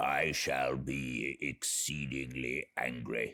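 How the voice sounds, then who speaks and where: In a put-on character voice, a man growls gruff and raspy at a very deep, low pitch, with a dry, close sound and no echo. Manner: suspicious, irritated.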